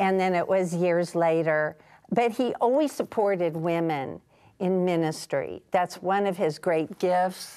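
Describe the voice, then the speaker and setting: On a very clean recording with a silent background, a woman with an American accent speaks fairly slowly at a medium pitch, her tone dark and mellow, her loudness very even and her pitch variation ordinary. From US Midwest, Kansas City. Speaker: Bible scholar and ministry leader. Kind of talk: TV interview.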